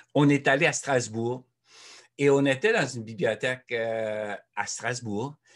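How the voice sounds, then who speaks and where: The man speaks very slowly. Pitch shifts in an ordinary way as he goes. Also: quiet background. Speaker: author and speaker; speaker. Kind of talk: presentation. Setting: video call. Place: home room. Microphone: webcam.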